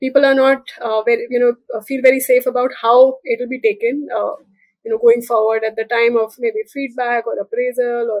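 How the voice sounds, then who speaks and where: A woman speaks at a fairly quick pace with a high pitch and monotone, flat intonation, recorded dry with no echo over a quiet background. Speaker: guest. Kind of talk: interview answer. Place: home room. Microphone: video call.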